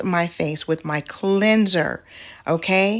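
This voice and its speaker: A woman talks in an unremarkable speaking voice at medium pitch with ordinary pitch variation. The recording is very clean, with a silent background. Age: middle-aged. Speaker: beauty vlogger. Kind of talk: tutorial. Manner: casual.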